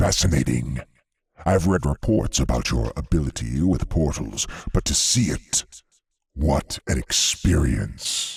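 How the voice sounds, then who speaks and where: With lively intonation, a man puts on a character voice of very deep, low pitch at a fairly slow pace. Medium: read story. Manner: playful, taunting.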